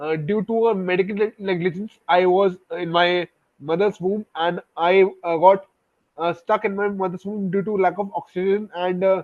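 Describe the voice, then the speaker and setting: A man speaks at a moderate pace. His voice is high and his intonation is monotone and flat. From India, Delhi region. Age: 20s. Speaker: software engineer and poet. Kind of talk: interview. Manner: halting, many fillers.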